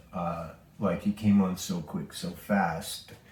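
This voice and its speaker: A man with a very deep, low pitch speaks in a relaxed tone with ordinary pitch variation. Audible room echo surrounds his voice. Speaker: pinball restoration video maker. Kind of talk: casual restoration vlog / tutorial. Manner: relaxed, with many filler words.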